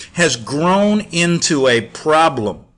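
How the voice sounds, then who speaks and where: This man has a high-pitched voice. His pitch swings very widely. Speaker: talk radio host. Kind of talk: talk radio commentary.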